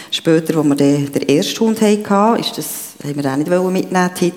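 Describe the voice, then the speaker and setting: The speech has lively intonation. Audible room echo and noticeable background noise surround it. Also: woman. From Switzerland, canton of Bern. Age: 50s. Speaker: churchgoer sharing a personal story. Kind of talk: testimony. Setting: church stage with congregation.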